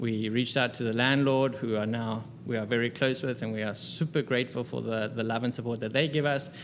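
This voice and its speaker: The speaker talks at a fairly quick pace with hardly any pauses, in a South African accent. The intonation stays fairly even. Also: man, medium pitch for a man. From South Africa, Cape Town. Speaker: restaurant co-founder and business consultant. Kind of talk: interview. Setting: restaurant.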